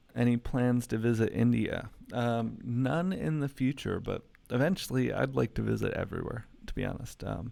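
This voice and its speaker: The speaker is a man with a Midwestern American accent. He talks at a moderate speed. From US Midwest, Metro Detroit, Michigan. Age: 20s. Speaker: YouTuber. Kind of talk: live stream Q&A. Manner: casual, many fillers.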